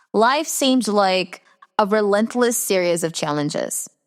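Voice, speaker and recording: With an American accent, a woman speaks at a fairly slow pace in a fairly high pitch that swings very widely. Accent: very Americanized English. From Brazil. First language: Portuguese. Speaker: podcast host, personal development mentor. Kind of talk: scripted podcast monologue.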